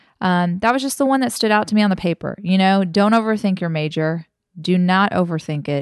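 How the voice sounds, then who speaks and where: Against a quiet background, a woman speaks at a medium pitch and a fairly quick pace with ordinary pitch variation. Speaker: blogger and podcast host. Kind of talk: casual chat. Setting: home dining table recording. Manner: loud, excited.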